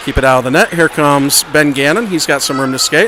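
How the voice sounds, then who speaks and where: Noticeable background noise accompanies a speaker with an American accent. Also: man. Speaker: amateur youth hockey commentator. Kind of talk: live commentary. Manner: loud. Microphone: volume adjusted mid-stream, was too quiet.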